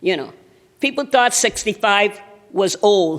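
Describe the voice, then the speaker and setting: Speaking in an American accent, a woman keeps a medium pitch at a fairly slow pace. Her pitch swings very widely. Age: 70s. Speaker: national volunteer president of an older adults' association. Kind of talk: keynote speech. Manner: animated.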